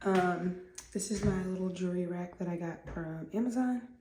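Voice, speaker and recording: There is noticeable background noise and audible room echo as a woman of medium pitch speaks fairly slowly with fairly even intonation. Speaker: lifestyle vlogger. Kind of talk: get ready with me vlog. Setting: at home, bathroom. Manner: hesitant, many ums.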